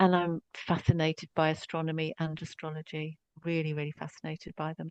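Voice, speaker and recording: A woman with a strong English accent and a fairly low pitch speaks at a moderate pace in a monotone, flat intonation, with a dry, close sound with no echo. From Scotland. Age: 60s. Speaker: psychotherapist. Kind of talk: podcast interview.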